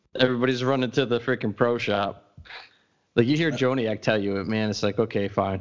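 In an unremarkable speaking voice, a man talks at a fairly quick pace and medium pitch with fairly even intonation. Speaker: podcast co-host, Bears fan. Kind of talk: casual chat podcast.

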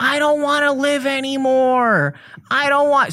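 A high-pitched, put-on character voice, shouting at a moderate pace. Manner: screaming, despairing.

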